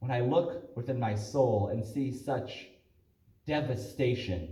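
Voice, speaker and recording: Speaking at a very slow pace, a man with an American accent uses a medium pitch and ordinary pitch variation. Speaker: spoken word poet. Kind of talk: spoken word poetry performance.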